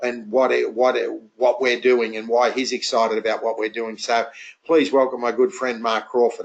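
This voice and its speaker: A man talks at a moderate pace and medium pitch with fairly even intonation. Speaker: network marketing entrepreneur, webinar host. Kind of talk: webinar introduction. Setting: online webinar. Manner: hesitant, many fillers.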